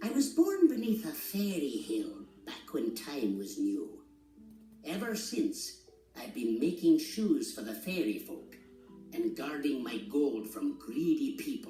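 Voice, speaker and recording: A man's gruff, put-on character voice at a high pitch and fairly slow pace, with slight echo and clear music in the background. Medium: read story. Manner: gruff, boastful.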